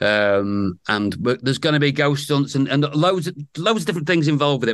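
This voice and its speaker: A man with a fairly high voice talks at a very fast pace with hardly any pauses and very wide pitch swings. His loudness stays very even against a quiet background. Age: 50s. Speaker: soap opera actor. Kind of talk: casual chat.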